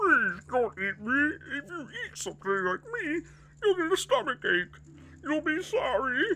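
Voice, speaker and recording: Using a put-on character voice, a man speaks at an extremely high pitch with very wide pitch swings and a moderate pace, with clear background noise. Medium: game stream. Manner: pleading, panicky.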